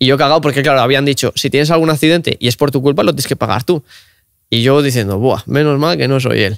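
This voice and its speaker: A man's fairly high voice at a very fast pace, with very even loudness and ordinary pitch variation, in a dry sound with no echo against a quiet background. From Cantabria, Spain. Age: 20s. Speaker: car content creator; podcast guest. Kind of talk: casual interview chat. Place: studio. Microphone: studio mic.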